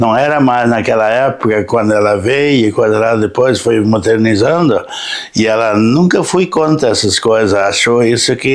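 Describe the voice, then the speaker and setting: Noticeable background noise runs beneath speech whose pitch varies in an ordinary way. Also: man. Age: 70s. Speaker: local resident interviewee. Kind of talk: interview. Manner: halting.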